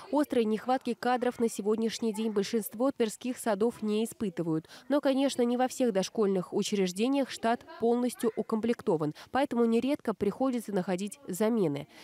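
With very even loudness and hardly any pauses, a woman speaks at a moderate pace and fairly high pitch, with ordinary pitch variation and a dry sound with no echo. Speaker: TV news reporter. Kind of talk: news report narration. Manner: formal.

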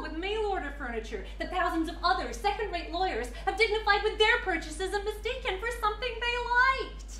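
A woman talks in a raised, projected voice at a fairly quick pace with hardly any pauses, with audible room echo and light background noise. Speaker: actor performing a monologue. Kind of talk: theatrical monologue. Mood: scornful, bitter. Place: hall.

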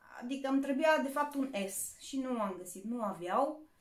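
Lively intonation carries through at a moderate pace, with audible room echo and light background noise. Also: woman. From Romania. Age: 30s. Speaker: YouTuber; haul vlogger. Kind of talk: shopping haul video; casual vlog chat. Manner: casual, with fillers. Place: home room. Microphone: phone near.

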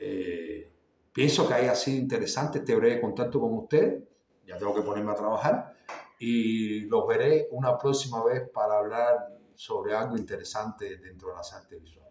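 Audible room echo surrounds a man talking at a moderate pace. His loudness swings widely. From Cuba. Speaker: artist and YouTuber; visual arts vlogger. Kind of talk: casual monologue to camera. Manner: halting, many fillers and repetitions. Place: home room. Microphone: phone near.

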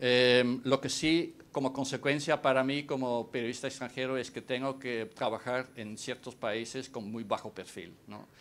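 A man with a Dutch accent, fairly slow and fairly even in intonation, with big swings in loudness. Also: hardly any pauses. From Netherlands. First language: Dutch (speaking Spanish). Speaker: foreign correspondent; journalist panelist. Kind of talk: panel talk. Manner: halting. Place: hall. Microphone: podium.

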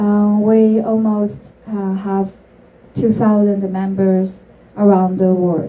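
A woman's very slow, monotone delivery in a Chinese accent, with a dark, mellow tone and flat intonation. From China. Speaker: entrepreneur; speaker. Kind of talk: talk to an audience. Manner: halting. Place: stage.

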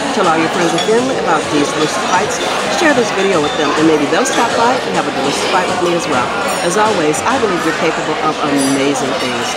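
A woman talks at a fairly quick pace. Crowd noise fills the background. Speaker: food vlogger. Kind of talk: casual vlog chat. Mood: warm, upbeat. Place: cafe. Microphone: phone near.

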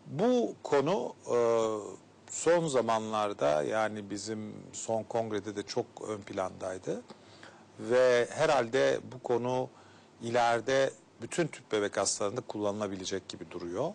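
A man at a very slow pace with lively intonation. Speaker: gynecologist and fertility specialist. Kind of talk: TV health interview. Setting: studio. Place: studio. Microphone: lapel.

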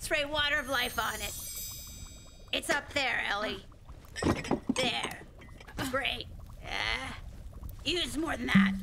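A high, cartoonish character voice speaks at a fairly slow pace, with long, frequent pauses. Loud background noise runs throughout. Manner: absent-minded, singsong.

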